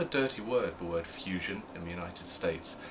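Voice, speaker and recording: With audible room echo and noticeable background noise, a man with a very deep, low pitch talks at a fairly quick pace with fairly even intonation. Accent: British. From UK. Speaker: media research executive. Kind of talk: interview. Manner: hesitant, with fillers and repeats.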